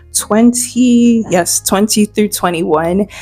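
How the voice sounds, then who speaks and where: A woman at medium pitch with fairly even intonation, music in the background. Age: young (19). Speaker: faith and lifestyle YouTuber. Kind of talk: casual Bible study talk to camera.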